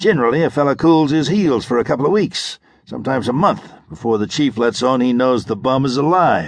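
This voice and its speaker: A man growls through a put-on character voice at medium pitch, with lively intonation and a moderate pace against a quiet background. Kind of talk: pulp crime audiobook. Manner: snarling, sarcastic tough guy; boastful, forceful.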